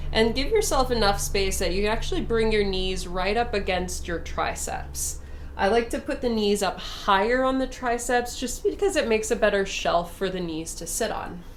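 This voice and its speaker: Over noticeable background noise and audible room echo, a woman talks with hardly any pauses, her fairly high pitch moving with ordinary variation. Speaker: yoga instructor. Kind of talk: guided yoga class. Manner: slow and steady.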